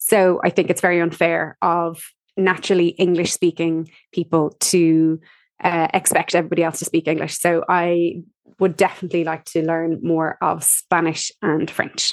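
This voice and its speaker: A woman with an Irish accent, fairly low in pitch and monotone, with flat intonation. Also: moderate pace. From Ireland. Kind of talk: interview answers.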